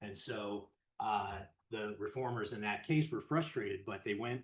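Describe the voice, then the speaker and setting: The man talks fairly quickly. His voice sits at a medium pitch. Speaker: law professor, panelist. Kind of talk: academic panel talk. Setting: panel before live and online audience. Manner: naturally loud voice; frequent fillers and self-corrections.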